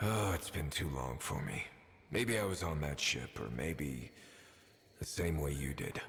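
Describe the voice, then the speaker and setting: A cartoonish character voice from a man, very deep and low in pitch, with clear background noise behind it. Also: moderate pace. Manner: quiet, thoughtful.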